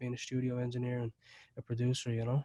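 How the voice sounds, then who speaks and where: A man's very fast, monotone, flat delivery with a dark, mellow tone, in an Irish accent. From Ireland. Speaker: recording studio owner. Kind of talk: interview.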